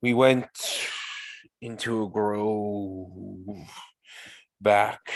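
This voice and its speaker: A man performs a put-on character voice. His pitch is fairly low. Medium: actual play. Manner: slow, solemn.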